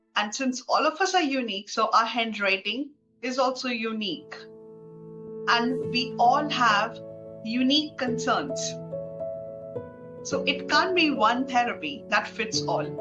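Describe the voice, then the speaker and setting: Music plays behind a woman speaking at a fairly slow pace with long, frequent pauses. Her fairly high pitch moves in very wide swings. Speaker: handwriting analyst and graphotherapist. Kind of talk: explanatory talk to camera.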